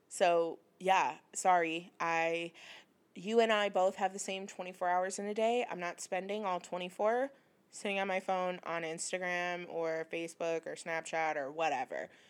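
Delivered at a fairly slow pace, this is a normal speaking voice with fairly even intonation. The recording is very clean, with a silent background. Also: woman, medium pitch for a woman. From Michigan, US Midwest. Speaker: podcast co-host, small business owner. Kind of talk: casual chat.

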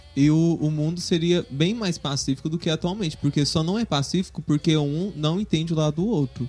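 Using a normal speaking voice, a man talks at a fairly quick pace and fairly high pitch, with ordinary pitch variation and hardly any pauses. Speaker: Umbanda priest. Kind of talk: casual interview.

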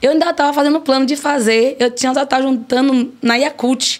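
A woman with a high pitch, at a moderate pace. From Brazil, Piauí (Piripiri). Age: 40s. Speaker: restaurant owner. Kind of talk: interview. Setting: studio.

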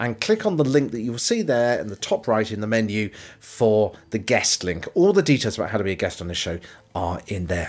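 A man with a plain, everyday voice, lively intonation and a fairly quick pace. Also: medium pitch for a man. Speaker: podcast host. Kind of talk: scripted narration.

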